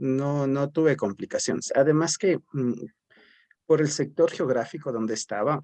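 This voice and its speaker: A man's fairly high-pitched voice in a dry, close sound with no echo. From Ecuador, Cayambe area (Pichincha highlands). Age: 40s. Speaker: teacher and educational psychologist. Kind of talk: interview. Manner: hesitant, with many fillers.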